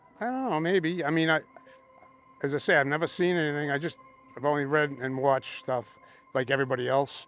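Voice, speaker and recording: A fairly high-pitched man over music in the background, very fast pace, ordinary pitch variation and long, frequent pauses. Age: 60s. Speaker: festival attendee sharing a sighting. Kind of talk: casual interview. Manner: halting.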